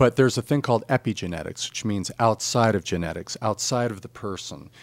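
An unremarkable speaking voice moves at a fairly quick pace with fairly even intonation, in a dry, close sound with no echo. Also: man. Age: 50s. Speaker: financial advisor and wellness coach. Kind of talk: casual interview.

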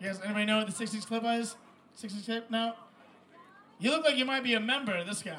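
A man projects a raised voice, high for a man, at a fairly quick pace broken by long, frequent pauses and with ordinary pitch variation. Audible room echo and noticeable background noise fill the recording. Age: young. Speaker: comedian. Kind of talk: stand-up.

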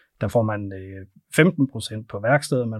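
A man speaks in a plain, everyday voice at a medium pitch with ordinary pitch variation. The recording is very clean, with a silent background. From North Jutland, Denmark. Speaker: payments company sales director. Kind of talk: interview. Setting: studio.

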